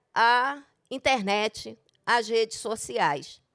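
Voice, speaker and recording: A woman speaking at a very slow pace, dry and close with no echo, on a very clean recording with a silent background. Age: 60s. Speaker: retired school secretary and teacher. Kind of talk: panel talk.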